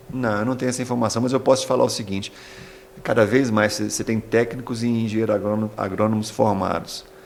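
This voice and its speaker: A man's very fast, monotone delivery at a medium pitch, flat in intonation, over noticeable background noise. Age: 60s. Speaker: agricultural school director. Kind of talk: interview. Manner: halting, many repetitions.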